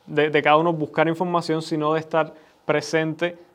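A man speaks at a fairly high pitch. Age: 20s. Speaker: son of the host, commentator. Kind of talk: conversational discussion. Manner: halting, repeats words.

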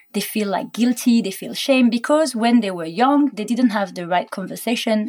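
Speaking in a French accent, a woman talks at a moderate pace in a fairly high pitch with ordinary pitch variation. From France. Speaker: business co-founder. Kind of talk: casual chat.

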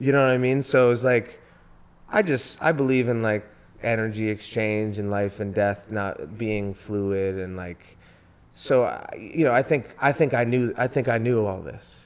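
At a moderate pace, a man speaks in a plain, everyday voice. His medium pitch shows ordinary variation. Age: 30s. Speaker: musician and entrepreneur. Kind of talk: casual chat.

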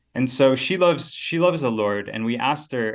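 A man with an ordinary speaking voice talks in an American accent at a moderate pace and medium pitch. His intonation is lively, and the background is quiet. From Texas, Dallas-Fort Worth. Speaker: researcher and ministry leader interviewed. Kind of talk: casual interview conversation.

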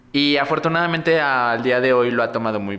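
A man's bright, sharp voice with a Mexican accent and ordinary pitch variation. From Mexico, Morelos. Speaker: drag performer. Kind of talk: casual chat.

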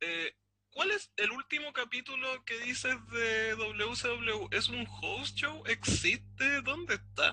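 The delivery comes at a very slow pace. A Chilean accent is heard. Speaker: podcast co-host. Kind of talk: casual chat.

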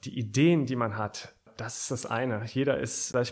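At a moderate pace, a man talks at a medium pitch in a plain, everyday voice. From Aachen, western Germany. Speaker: startup founder. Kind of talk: interview. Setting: studio.

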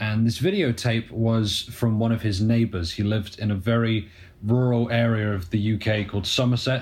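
The speaker has a British accent, with fairly even intonation and very even loudness. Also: man, medium pitch for a man, moderate pace. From UK. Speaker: documentary filmmaker. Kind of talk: casual chat.

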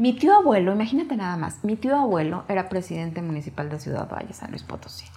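A woman's medium-pitched voice at a very fast pace with hardly any pauses, very wide pitch swings and big swings in loudness, over noticeable background noise. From Mexico. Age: 50s. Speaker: motivational speaker and author. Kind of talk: interview testimony.

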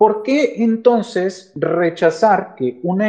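A man's voice has a dark, mellow tone and lively intonation. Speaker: economist and professor. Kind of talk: guest talk in a live audio chat room. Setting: online audio chat room.

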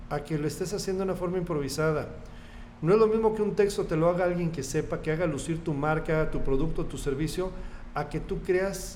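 This man's voice sits at a high pitch, with ordinary pitch variation. Audible room echo surrounds it. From central Mexico, State of Mexico. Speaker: radio station manager. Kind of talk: interview.

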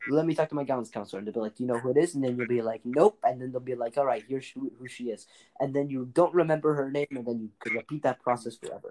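Speaking at a very fast pace with hardly any pauses, a man uses a medium pitch, a dark, mellow tone and ordinary pitch variation, and the sound is dry and close with no echo. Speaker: podcast co-host. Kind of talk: casual chat. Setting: remote call.

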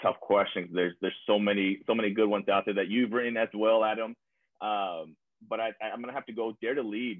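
A man with an American accent speaks at a very fast pace with fairly even intonation. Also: fairly low pitch for a man. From South Texas (San Benito). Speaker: school principal. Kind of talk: casual interview.

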